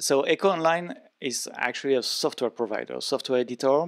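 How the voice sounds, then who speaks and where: A man with a French accent at a moderate pace, ordinary pitch variation, dry, close sound with no echo. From France. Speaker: event session host. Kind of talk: interview.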